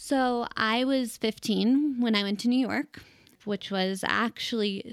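In a normal speaking voice with a General American accent, a woman talks at a fairly slow pace, recorded very cleanly with a silent background and a dry, close sound with no echo. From Colorado, Denver. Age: 20s. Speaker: fashion blogger. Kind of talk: interview.

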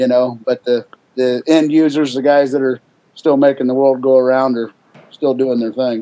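Intonation is monotone and flat. The man's pitch sits in the medium range. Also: moderate pace. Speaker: auction company representative. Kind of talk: casual conversation.

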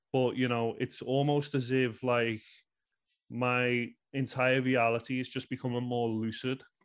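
In a Scouse accent, a man speaks at a fairly slow pace in a medium pitch with monotone, flat intonation over a quiet background. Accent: Scouse (Liverpool) English. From Liverpool, England. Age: 30s. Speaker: astrologer and author. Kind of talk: casual interview. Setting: remote podcast call.

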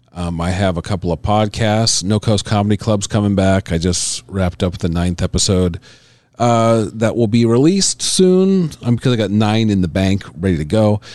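Speaking at a moderate pace over a quiet background, a man uses a plain, everyday voice at a fairly low pitch with ordinary pitch variation. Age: 40s. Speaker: stand-up comedian. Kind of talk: casual interview.

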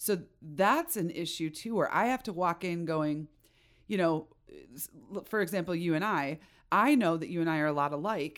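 A woman with an American accent speaks at a moderate pace in a fairly low voice with ordinary pitch variation, taking long, frequent pauses, on a very clean recording with a silent background. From Chicago suburbs, US Midwest. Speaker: web developer and podcast host. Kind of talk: casual chat.

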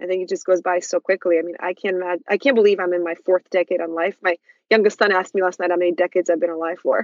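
Speaking at a very fast pace, a woman has a Russian accent and a medium pitch. Her intonation is flat and monotone, and the sound is dry and close, with no echo. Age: 40s. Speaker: PR agency CEO and author. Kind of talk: casual interview chat.

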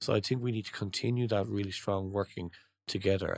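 With an Irish accent, a man speaks at a fairly low pitch with fairly even intonation on a very clean recording with a silent background. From Ireland. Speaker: trade association executive. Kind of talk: interview.

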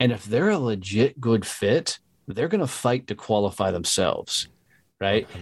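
Using an unremarkable speaking voice, a man of medium pitch talks at a moderate pace with lively intonation. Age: 40s. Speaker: entrepreneur and sales trainer. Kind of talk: casual interview.

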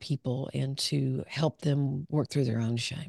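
In a Southern US accent, a voice with a dark, mellow tone comes at a moderate pace, heard in a dry, close sound with no echo against a quiet background. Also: woman. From US South, southern Arkansas. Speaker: clinical psychologist. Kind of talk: interview conversation.

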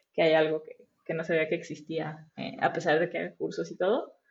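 Speaking in an ordinary speaking voice, a woman keeps a fairly low pitch and a moderate pace. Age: 30s. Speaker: front-end web developer. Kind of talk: interview.

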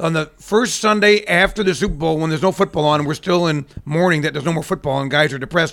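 A man with an American accent races along at a very fast pace with hardly any pauses. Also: fairly high pitch for a man, ordinary pitch variation. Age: 50s. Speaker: superstitious sports fan, former radio personality. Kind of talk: casual chat. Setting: video recording.

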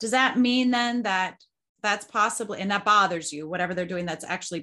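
The voice has a bright, sharp tone with a Midwestern US accent. Its pitch variation is ordinary. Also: woman. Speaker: podcast host, parenting coach. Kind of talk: casual interview.

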